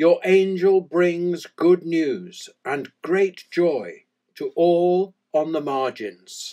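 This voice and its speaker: In a solemn tone and an English accent, a man with a high pitch speaks at a very slow pace with ordinary pitch variation. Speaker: church prayer leader. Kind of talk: fervent liturgical prayer with call-and-response refrains. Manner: measured, reverent cadence with solemn pauses; devout, earnest invocation of God.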